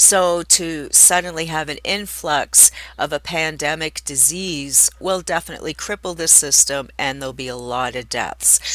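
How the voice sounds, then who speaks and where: With hardly any pauses, a woman talks in a very deep, low voice that has a bright, sharp tone and vocal fry. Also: ordinary pitch variation, moderate pace. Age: 50s. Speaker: YouTuber. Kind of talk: casual vlog monologue. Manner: conversational with fillers.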